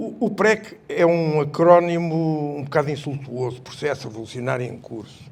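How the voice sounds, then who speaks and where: Somewhat breathy and fairly high-pitched, a man speaks with ordinary pitch variation. His pace is fairly slow. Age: 70s. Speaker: retired army colonel, revolution veteran. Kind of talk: public panel talk. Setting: public event with audience.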